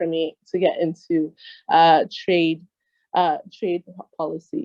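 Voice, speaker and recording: Taking a fairly slow pace, a woman talks with an American accent. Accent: full American. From United States. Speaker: trade negotiations expert. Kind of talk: interview.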